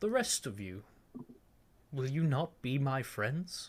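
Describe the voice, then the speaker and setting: This man puts on a character voice. His words come at a fairly slow pace. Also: medium pitch for a man. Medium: actual play. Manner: falsely sweet, calls everyone friend.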